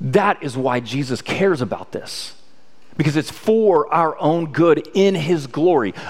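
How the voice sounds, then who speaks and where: This man has a plain, everyday voice pitched fairly high. His intonation is lively and his pace fairly slow. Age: 30s. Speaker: pastor. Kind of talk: sermon.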